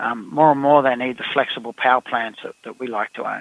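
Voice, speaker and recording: A man with an Australian accent speaks with ordinary pitch variation. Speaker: company CEO. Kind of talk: interview. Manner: halting, many fillers.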